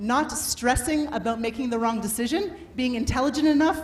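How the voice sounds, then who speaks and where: A woman with a Canadian accent speaks loud and animated at a high pitch and a fairly quick pace, with ordinary pitch variation, audible room echo, and noticeable background noise. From Canada. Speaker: workshop speaker on adaptability. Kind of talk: motivational talk. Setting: stage with audience and microphone.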